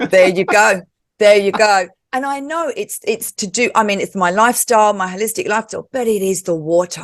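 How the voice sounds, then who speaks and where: A woman's normal speaking voice, fairly high in pitch, at a fairly quick pace. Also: ordinary pitch variation. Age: 50s. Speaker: talk show host and yoga teacher. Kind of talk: casual interview chat.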